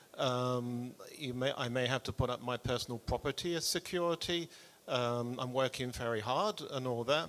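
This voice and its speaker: Recorded very cleanly with a silent background, a man speaks at a moderate pace in a medium pitch with ordinary pitch variation. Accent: British. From UK. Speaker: audience member asking question, business owner. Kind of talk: audience question. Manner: halting, hesitant.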